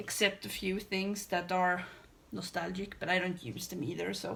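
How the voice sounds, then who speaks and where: Using a Swedish accent, a woman speaks at a fairly slow pace. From Sweden. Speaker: beauty vlogger. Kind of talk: casual chat while doing makeup. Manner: halting.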